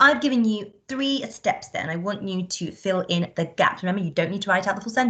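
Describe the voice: Lively intonation over plain reading aloud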